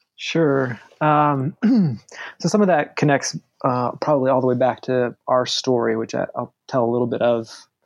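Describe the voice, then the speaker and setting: Medium pitch and moderate pace in a man's normal speaking voice. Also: ordinary pitch variation. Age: 40s. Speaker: pastor. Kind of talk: casual chat.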